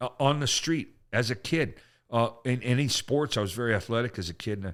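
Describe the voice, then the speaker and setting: An animated man's voice of medium pitch, with ordinary pitch variation, on a very clean recording with a silent background. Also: fairly quick pace. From Canada. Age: 60s. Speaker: comedian. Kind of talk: casual chat.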